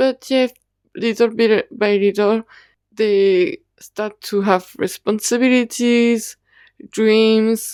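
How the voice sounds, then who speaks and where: With a non-native accent, the speaker talks very slowly, with long, frequent pauses, in a dry, close recording with no echo and a silent background. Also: woman. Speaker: YouTuber reviewing BL dramas. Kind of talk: casual review ramble. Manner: halting.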